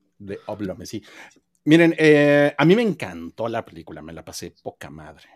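Recorded dry and close with no echo, a man at medium pitch talks at a moderate pace, his pitch swinging very widely and his loudness shifting a lot. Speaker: podcast host. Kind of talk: casual chat. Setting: live stream.

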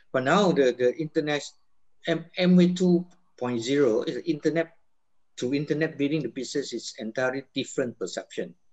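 This is an ordinary speaking voice at a moderate pace, with ordinary pitch variation. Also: man, fairly high pitch for a man. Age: 60s. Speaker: network marketing business leader. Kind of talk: motivational talk.

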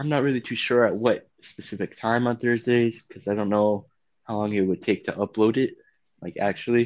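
Against a quiet background, a man with an American accent speaks in an ordinary speaking voice at medium pitch. He talks at a fairly quick pace with fairly even intonation. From US South, Gulfport, Mississippi. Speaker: podcast co-host. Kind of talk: casual chat. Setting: home recording.

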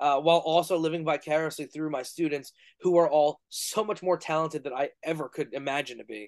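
The sound is dry and close with no echo as a man talks fairly quickly in a fairly high pitch with fairly even intonation. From New York. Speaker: professional wrestler and podcast host. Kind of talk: casual interview.

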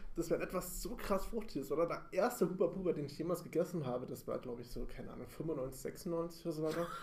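Delivered at a very fast pace, the speech has hardly any pauses and ordinary pitch variation. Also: man, high pitch for a man. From Bavaria, Munich. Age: 30s. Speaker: podcast co-host. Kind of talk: casual chat. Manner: halting.

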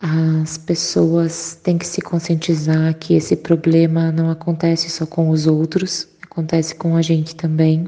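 Over noticeable background noise, a woman talks at a fairly low pitch with monotone, flat intonation and hardly any pauses. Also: fairly slow pace. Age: 30s. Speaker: breast cancer survivor. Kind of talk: testimony.

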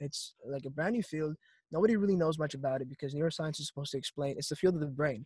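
In a dry, close sound with no echo, a man with a fairly high pitch and a somewhat breathy voice talks at a very fast pace with ordinary pitch variation. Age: 20s. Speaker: college student. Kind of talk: casual chat.

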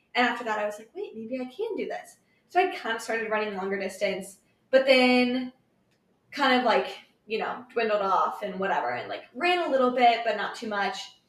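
An animated speaker with an American accent is heard with audible room echo. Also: woman, fairly high pitch for a woman, lively intonation. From Kansas City, US Midwest. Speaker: amateur runner. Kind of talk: casual chat.

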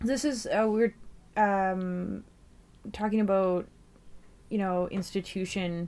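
Very slow and broken by long, frequent pauses, the voice has a dark, mellow tone and fairly even intonation. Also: woman, medium pitch for a woman. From Fort Simpson, Northwest Territories, Canada. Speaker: community organizer and MC. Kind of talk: casual conversation.

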